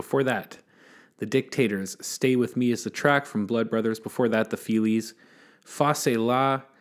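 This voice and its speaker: In a very clean recording with a silent background, a man with an ordinary speaking voice talks at a moderate pace, his medium pitch kept in fairly even intonation. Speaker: college radio host. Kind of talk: radio DJ patter: back-announcing tracks and teasing the next song, with a station ID. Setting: radio studio broadcast. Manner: relaxed, conversational, with filler 'uh' and small laughs.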